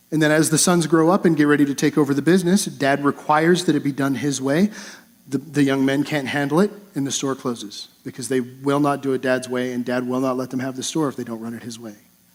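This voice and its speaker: Noticeable background noise sits behind a man who talks very fast with a fairly high pitch. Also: ordinary pitch variation. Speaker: pastor. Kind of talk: sermon. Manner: halting with repetitions.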